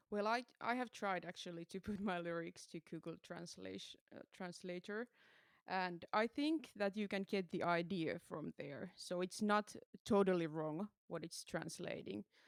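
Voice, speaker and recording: A woman with a Finnish accent, ordinary pitch variation, and a dry, close sound with no echo. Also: medium pitch for a woman, moderate pace, very clean recording, silent background. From Finland. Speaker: metal musician. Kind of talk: interview. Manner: halting.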